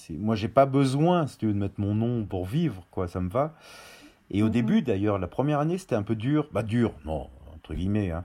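With a dark, mellow tone and fairly low pitch, a man speaks at a fairly quick pace with lively intonation on a very clean recording with a silent background. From Auvergne, France. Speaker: spice brand founder. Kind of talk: interview.

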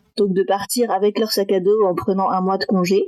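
An ordinary speaking voice from a woman, fairly slow in pace, with ordinary pitch variation. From France, Metz (north-east). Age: 20s. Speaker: adoptee sharing her story. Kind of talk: testimony.

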